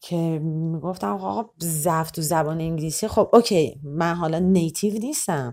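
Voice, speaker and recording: Lively intonation in a dark, mellow tone, moderate pace with hardly any pauses, on a very clean recording with a silent background. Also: woman. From Iran, Tehran. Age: 30s. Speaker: performance artist. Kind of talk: interview.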